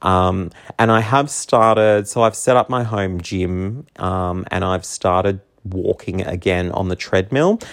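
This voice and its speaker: Speaking with an Australian accent, a man's very deep, low voice moves at a fairly slow pace with fairly even intonation. The background is quiet. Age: 30s. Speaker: podcast host. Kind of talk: casual monologue. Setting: home.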